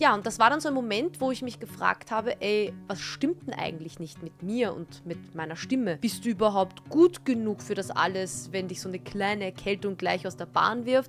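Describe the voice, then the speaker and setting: Music plays behind a woman speaking at a moderate pace and medium pitch. Her pitch swings very widely, and her loudness varies a lot. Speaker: TV and event host. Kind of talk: personal vlog talk to camera.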